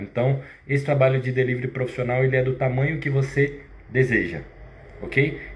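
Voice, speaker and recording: Audible room echo surrounds a somewhat breathy male voice. He speaks at a moderate pace with a medium pitch. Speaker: fitness business owner and live host. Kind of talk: live stream sales pitch. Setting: live stream. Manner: halting.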